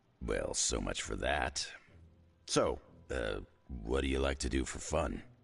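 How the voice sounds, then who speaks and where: A man uses a put-on character voice, raspy and very deep, speaking at a fairly slow pace with music in the background. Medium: video game. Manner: gruff, wry.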